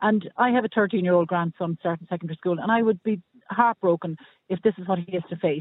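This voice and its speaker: A man with an Irish accent talks at a fairly quick pace. His pitch is high and his intonation fairly even. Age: 60s. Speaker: caller. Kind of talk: radio phone-in debate.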